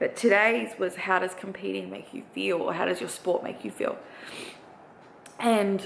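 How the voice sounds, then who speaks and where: A woman with an Australian accent speaks at a moderate pace. Noticeable background noise can be heard. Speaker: bikini bodybuilding competitor. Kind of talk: vlog. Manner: casual, hesitant fillers.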